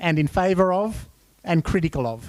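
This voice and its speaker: Speaking at a high pitch with ordinary variation, a man has an Australian accent. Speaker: workshop facilitator. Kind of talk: conference workshop facilitation. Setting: conference room with audience.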